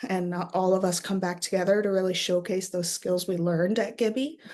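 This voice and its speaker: With a Canadian accent, a woman talks at a fairly quick pace in a medium pitch, her intonation fairly even. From Canada, northwestern Ontario (Thunder Bay). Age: young. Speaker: university student and youth program facilitator. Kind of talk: personal testimony. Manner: hesitant, many filler words.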